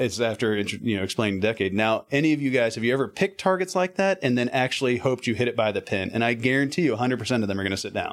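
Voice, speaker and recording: The recording is very clean, with a silent background. A man speaks very fast at medium pitch. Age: 40s. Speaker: golf performance coach and amateur golfer. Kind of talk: casual interview.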